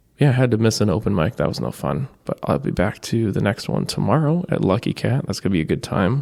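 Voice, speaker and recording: A loud man with a fairly low voice, vocal fry, very wide pitch swings and a fairly quick pace. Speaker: podcaster, open mic performer. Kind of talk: casual monologue. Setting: library room. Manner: loud by habit, talking softer now.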